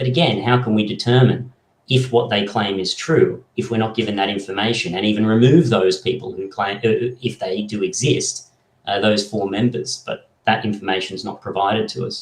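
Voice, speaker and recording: This man, with an Australian accent, sounds somewhat breathy at a fairly low pitch. His pace is moderate and his pitch varies in an ordinary way. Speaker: political party member. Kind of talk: podcast interview.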